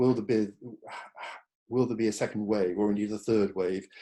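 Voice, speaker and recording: With an English accent, a man of fairly low pitch speaks at a moderate pace in a dark, mellow tone with fairly even intonation. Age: 60s. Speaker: psychotherapist. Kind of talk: online talk presentation. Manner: hesitant fillers.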